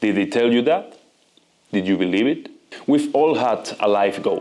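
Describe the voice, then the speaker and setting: A man with a Spanish accent talks at medium pitch with ordinary pitch variation. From Spain. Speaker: video essayist. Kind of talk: personal reflection monologue. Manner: non-native, slightly halting.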